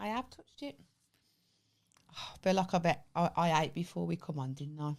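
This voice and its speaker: A woman's very deep, low voice with a Birmingham accent, lively intonation and big swings in loudness, in a very clean recording with a silent background. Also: moderate pace. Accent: Brummie. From Birmingham, England. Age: 30s. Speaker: podcast co-host. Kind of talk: casual chat.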